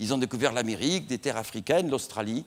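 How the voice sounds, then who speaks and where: Lively in intonation, a man talks at a very fast pace. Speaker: astrophysicist lecturer. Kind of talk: public lecture.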